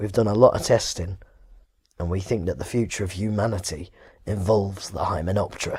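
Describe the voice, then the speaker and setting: A man does a raspy put-on character voice at a fairly low pitch, moving at a fairly quick pace with fairly even intonation. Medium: read story.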